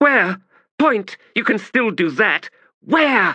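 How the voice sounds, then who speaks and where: A put-on character voice, cackling at a very slow pace. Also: man, high pitch for a man. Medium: read story. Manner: scornful, cackling, imperious.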